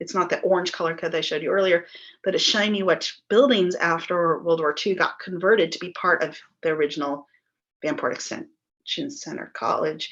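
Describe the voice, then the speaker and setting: Against a quiet background, a woman speaks at a fairly quick pace. Her fairly low voice has lively intonation. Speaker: local historian presenting a project. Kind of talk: presentation over video call. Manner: fast.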